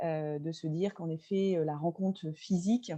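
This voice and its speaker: A woman speaks at a fairly slow pace in a dark, mellow tone, her pitch fairly low and her intonation fairly even. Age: 40s. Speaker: venue owner and local politician. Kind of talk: webinar presentation. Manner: halting, many filler sounds.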